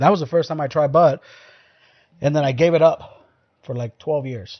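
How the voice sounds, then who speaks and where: A man with a Mexican accent speaks at a fairly high pitch and moderate pace, with ordinary pitch variation and big swings in loudness. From Mexico. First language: Spanish. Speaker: podcast host. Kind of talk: casual chat.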